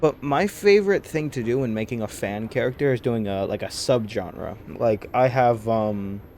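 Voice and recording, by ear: A passage is read aloud. The voice used is natural.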